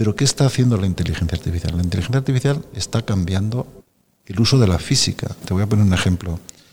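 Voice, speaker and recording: Talking very fast, a man uses a fairly low pitch and ordinary pitch variation. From Spain, Aragon (Zaragoza province). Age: 60s. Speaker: supercomputing centre director. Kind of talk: interview conversation.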